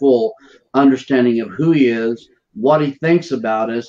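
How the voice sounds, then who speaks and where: A man's fairly slow speech with fairly even intonation against a quiet background. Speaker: show host, minister. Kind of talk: broadcast show introduction. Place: office. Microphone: earbuds.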